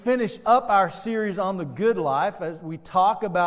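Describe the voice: Ordinary pitch variation in plain reading aloud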